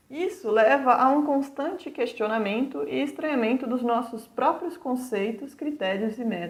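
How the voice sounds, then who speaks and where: Lively in intonation, a woman with a São Paulo accent speaks at a high pitch and a moderate pace. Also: hardly any pauses. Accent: São Paulo (paulista) Brazilian Portuguese. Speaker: university lecturer. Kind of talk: lecture.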